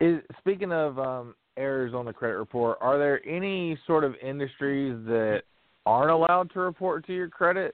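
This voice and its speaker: A man's plain, everyday voice, fairly high in pitch, with ordinary pitch variation and a moderate pace. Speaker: radio co-host. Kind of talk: casual chat.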